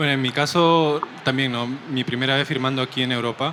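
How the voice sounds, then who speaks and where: Over noticeable background noise, a man speaks at a fairly quick pace in a Peruvian accent. His pitch is medium, with ordinary variation. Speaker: comic artist. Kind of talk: interview. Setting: comic convention stream set.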